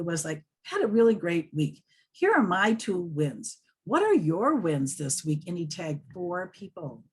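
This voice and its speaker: A woman with a fairly low pitch talks at a moderate pace, somewhat breathy, with very wide pitch swings. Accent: American. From US Upper Midwest, Wisconsin. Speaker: social media tutor. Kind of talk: interview, tips and advice.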